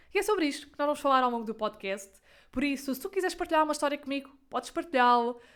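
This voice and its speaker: A high-voiced woman with a European Portuguese accent, speaking very fast. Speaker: podcaster. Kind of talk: casual monologue.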